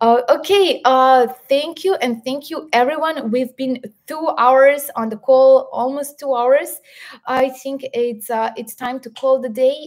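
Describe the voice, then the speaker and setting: A woman's high-pitched voice with a Serbian accent, ordinary pitch variation, big swings in loudness, and a fairly slow pace. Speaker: health educator and live stream host. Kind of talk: live stream interview and wrap-up. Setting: video call live stream.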